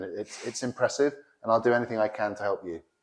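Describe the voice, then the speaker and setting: Speaking at a very fast pace, a man with an English accent keeps his intonation fairly even. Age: 40s. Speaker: politician. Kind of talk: campaign video.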